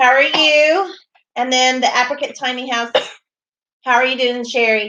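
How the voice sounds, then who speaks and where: Projecting a raised voice, a woman with an American accent speaks at a moderate pace in a high, bright, sharp tone, with long and frequent pauses. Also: ordinary pitch variation. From US South. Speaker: homesteading vlogger. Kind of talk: livestream chat. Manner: clear enunciation.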